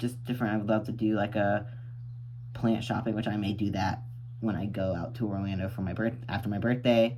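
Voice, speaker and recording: Over noticeable background noise and audible room echo, a man with an American accent speaks at a moderate pace and medium pitch in a monotone, flat intonation. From Florida, St. Augustine. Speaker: plant YouTuber. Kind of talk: casual vlog monologue. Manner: rambling, hesitant with many ums.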